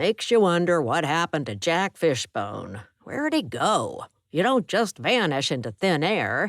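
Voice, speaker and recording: A put-on character voice sits at a middle pitch and a moderate pace. The recording is very clean, with a silent background. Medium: read story.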